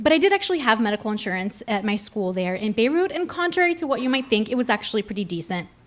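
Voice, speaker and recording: With noticeable background noise behind it, the voice races at a very fast pace with very wide pitch swings. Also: woman. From raised in France, based in Arizona. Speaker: storyteller. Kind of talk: live storytelling performance on stage, comedic personal anecdote. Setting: live stage with audience. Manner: conversational, self-deprecating, comedic timing.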